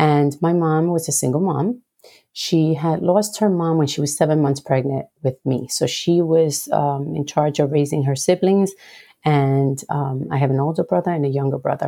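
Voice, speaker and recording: Her tone dark and mellow, a woman speaks at a moderate pace with a very deep, low pitch. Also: ordinary pitch variation. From Puerto Rico. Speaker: dental hygienist and motivational speaker. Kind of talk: personal testimony interview.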